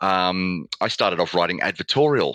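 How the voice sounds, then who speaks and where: A man with an Australian accent speaks at a very deep, low pitch in a bright, sharp tone with lively intonation, the sound dry and close with no echo. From Australia (Melbourne). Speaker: communications lead at an engineering firm. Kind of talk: interview conversation.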